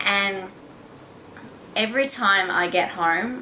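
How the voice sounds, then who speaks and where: A woman speaks with an Australian accent. Noticeable background noise and audible room echo surround her voice. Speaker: beauty vlogger. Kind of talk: casual vlog talk.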